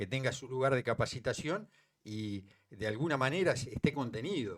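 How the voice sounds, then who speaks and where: Here a man speaks at a fairly quick pace and medium pitch, with lively intonation. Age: 60s. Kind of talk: interview. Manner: hesitant, many fillers.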